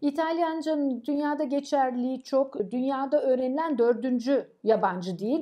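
Against a quiet background, the speech unfolds at a fairly slow pace with lively intonation. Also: woman. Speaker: professor. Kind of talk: interview. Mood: warm, proud of students. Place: office. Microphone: camera far.

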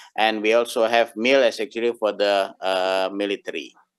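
A man's fairly low, monotone voice at a fairly slow pace, with flat intonation and a dry sound with no echo. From Indonesia. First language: Indonesian (speaking Russian). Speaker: domain registry representative; conference presenter. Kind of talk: conference talk. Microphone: video call.

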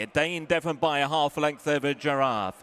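Dry, close sound with no echo and an ordinary speaking voice. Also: man. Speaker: racecourse commentator. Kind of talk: live horse race commentary. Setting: racecourse PA. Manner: rapid-fire, fluent, building excitement through the finish; clipped, rhythmic delivery of horse names and positions.

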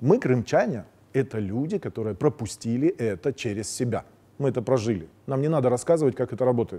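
The pace is fairly quick. A man speaks in a dark, mellow tone. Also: lively intonation. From Crimea. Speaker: TV political commentary host. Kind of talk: political commentary monologue. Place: studio.

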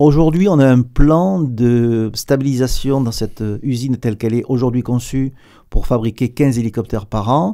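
Over a quiet background, a man with a southern French accent speaks at a moderate pace in a medium pitch, his tone dark and mellow and his pitch variation ordinary. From southern France. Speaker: aerospace company executive; guest. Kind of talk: radio interview; interview answer. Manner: hesitant, many repetitions. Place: studio. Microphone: studio mic.

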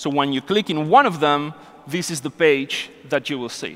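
The voice moves at a moderate pace, with a fairly bright tone and ordinary pitch variation. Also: man, fairly high pitch for a man.

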